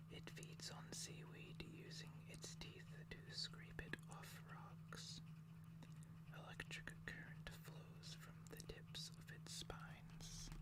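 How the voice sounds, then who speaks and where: Someone speaks in a whisper. The delivery is very slow. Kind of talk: ASMR card reading. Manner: whispered.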